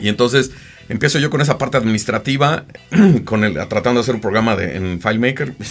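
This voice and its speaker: This man rushes along at a very fast pace, with noticeable background noise around him. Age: 40s. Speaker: graphic designer and agency founder. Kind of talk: casual interview. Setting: studio.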